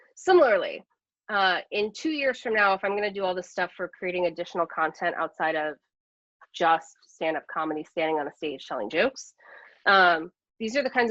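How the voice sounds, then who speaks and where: Against a quiet background, a woman with medium pitch and lively intonation comes across with a dry, close sound with no echo. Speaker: comedian and educator. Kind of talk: webinar presentation. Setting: online webinar. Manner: fast.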